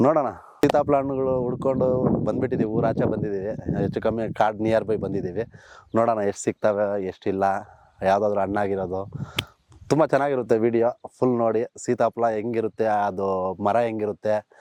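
A man talks at a medium pitch with a dark, mellow tone. The sound is dry and close, with no echo. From rural Karnataka, India. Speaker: village vlogger. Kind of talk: casual vlog narration. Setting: outdoors. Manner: animated.

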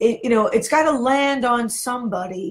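A woman speaks with lively intonation at a moderate pace. Her pitch is high. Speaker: internet radio host. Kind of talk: casual interview. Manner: animated. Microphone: webcam.

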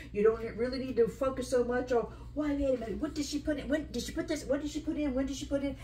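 The speech comes at a very fast pace. Light background noise sits underneath. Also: woman. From US South. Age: 60s. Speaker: home cook, cooking video host. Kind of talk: tutorial, cooking demonstration. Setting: home kitchen. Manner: chatty, informal, humorous. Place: kitchen. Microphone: phone near.

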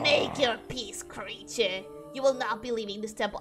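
Over clear background music, a woman at a fairly high pitch does a croaky, creaky put-on character voice at a moderate pace. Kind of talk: villain impression, croaky. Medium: virtual streamer. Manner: menacing, haughty.

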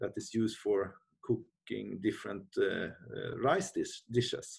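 A man speaks with a Swedish accent. His pace is fairly slow. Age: 40s. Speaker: company CEO. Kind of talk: interview. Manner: halting. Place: office. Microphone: webcam.

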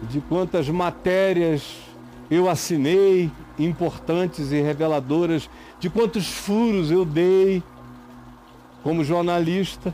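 With music in the background, a man speaks very slowly at a high pitch, leaving long, frequent pauses, his intonation fairly even and his loudness very even. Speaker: preacher giving a talk. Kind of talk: interview answer. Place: studio.

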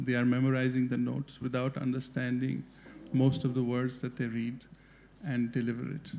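The man talks at a moderate pace. His tone is dark and mellow. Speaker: conference panelist. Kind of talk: talk to an audience. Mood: amused, engaged. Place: hall. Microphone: podium.

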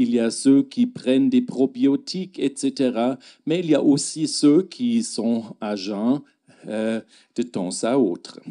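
A man speaks with a German accent at a very slow pace. The background is quiet. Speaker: gastroenterologist. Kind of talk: lecture. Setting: stage with audience. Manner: halting. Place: hall. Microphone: handheld.

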